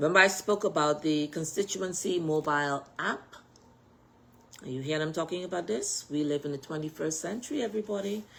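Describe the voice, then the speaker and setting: A woman with a Bahamian accent speaks at a fairly quick pace in a very deep, low voice, her pitch rising and falling in an ordinary way. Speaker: political party executive and candidate. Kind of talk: political address on social media live video. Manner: animated.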